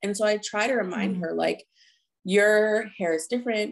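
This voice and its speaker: Her voice is a normal speaking voice with an American accent, fairly high in pitch with ordinary variation. The woman talks at a fairly quick pace. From New Jersey. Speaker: acupuncturist. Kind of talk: interview.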